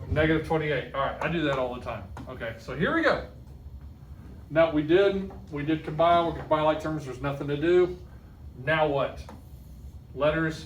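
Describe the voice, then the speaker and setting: In a room with audible echo, a man with a fairly high voice talks at a fairly quick pace, broken by long, frequent pauses. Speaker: math teacher. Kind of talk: classroom lesson. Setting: classroom with students. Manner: fast; animated.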